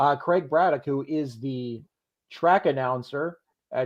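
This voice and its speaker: A man with a Philadelphia accent at a moderate pace. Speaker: horse racing handicapper. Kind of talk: live stream picks discussion.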